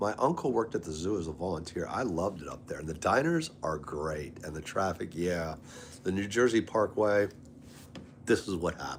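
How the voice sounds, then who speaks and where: Speaking at a fairly quick pace, a man with an American accent has a very deep, low voice, an animated tone and ordinary pitch variation. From Maryland and North Carolina. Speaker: live streamer. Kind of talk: casual chat.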